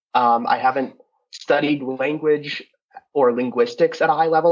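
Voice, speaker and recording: With an American accent, a man speaks in an ordinary speaking voice at a moderate pace and with fairly even intonation. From United States. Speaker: podcast co-host. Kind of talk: casual interview chat.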